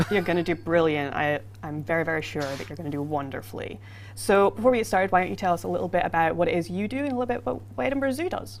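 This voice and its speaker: Very deep and low in pitch, a woman speaks at a very fast pace with vocal fry. Her pitch swings very widely. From Scotland. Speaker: livestream host for a video game. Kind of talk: casual livestream chat.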